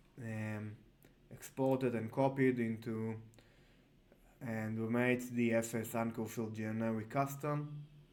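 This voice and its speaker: A man with a medium-pitched voice talks at a fairly slow pace in a monotone, flat intonation, with long, frequent pauses and audible room echo. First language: not English. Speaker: software tutorial creator. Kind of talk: tutorial. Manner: halting, many fillers.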